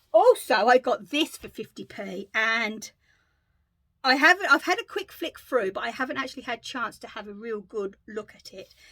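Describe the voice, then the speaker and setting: A woman with a high pitch and a bright, sharp tone sounds animated, with lively intonation and big swings in loudness. The sound is dry and close, with no echo. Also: moderate pace. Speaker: crafting vlogger. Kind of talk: casual chat.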